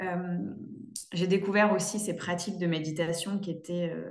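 Speech at a fairly quick pace with fairly even intonation carries audible room echo. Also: woman. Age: 20s. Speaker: interior designer. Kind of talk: testimony. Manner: halting. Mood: warm, grateful. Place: home room. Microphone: video call.

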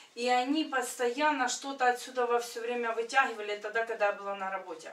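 Audible room echo surrounds a woman speaking. Her voice is fairly high, with ordinary pitch variation. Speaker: church member. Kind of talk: testimony. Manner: animated. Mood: earnest, emotional storytelling. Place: home room. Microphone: camera far.

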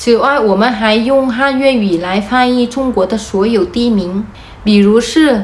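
A woman speaks very slowly with a Vietnamese accent and a fairly high pitch. Her loudness stays very even, and her pitch varies in an ordinary way. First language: Vietnamese (speaking Chinese). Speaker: vlogger. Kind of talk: explainer vlog. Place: home room. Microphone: phone near.

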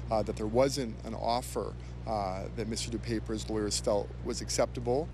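A man talks at a moderate pace. The sound is dry with no echo, and music plays in the background. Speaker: legal analyst, defense attorney. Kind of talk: interview answer. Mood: measured, serious. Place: street. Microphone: handheld.

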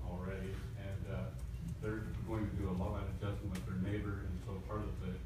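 A man's fairly quick speech amid audible room echo and loud background noise. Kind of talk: meeting presentation. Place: meeting room. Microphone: camera far.

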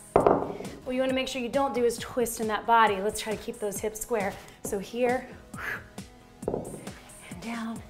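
A woman speaks at a fairly slow pace with clear music in the background. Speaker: fitness instructor. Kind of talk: workout instruction. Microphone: lapel.

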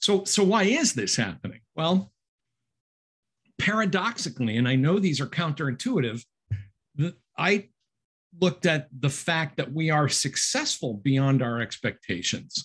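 A man speaks at a fairly slow pace against a quiet background. His pitch swings very widely, with long, frequent pauses. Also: fairly high pitch for a man, very even loudness. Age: 60s. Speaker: author and instructor; instructor. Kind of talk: book talk. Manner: halting. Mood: conversational, mildly wry. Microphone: webcam.

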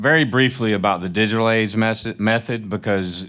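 A man speaks with a Southern US accent. The background is quiet. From Mississippi. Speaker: panel moderator, music industry entrepreneur; panel moderator. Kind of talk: panel presentation. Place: hall. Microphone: podium.

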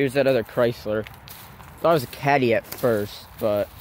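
A man speaks at a moderate pace with fairly even intonation, the sound dry with no echo and light background noise. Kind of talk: casual vlog narration. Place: forest. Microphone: phone near.

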